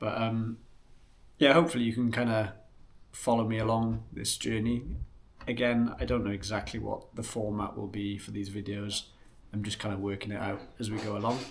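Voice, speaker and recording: A man with a Welsh accent speaks at a moderate pace in a fairly low pitch, with audible room echo. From West Wales. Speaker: outdoor vlogger. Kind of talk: casual vlog intro. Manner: casual, hesitant with fillers.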